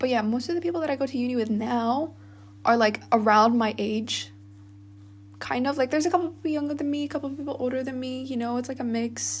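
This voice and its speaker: Her high pitch and ordinary pitch variation carry this woman's speech at a very fast pace. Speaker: university student, vlogger. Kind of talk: casual monologue vlog. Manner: casual, many fillers.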